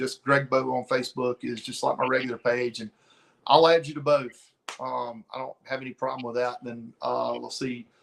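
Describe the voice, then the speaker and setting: Speaking at a moderate pace with a Southern US accent, a man shows big swings in loudness. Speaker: comic book cover artist. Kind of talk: interview conversation.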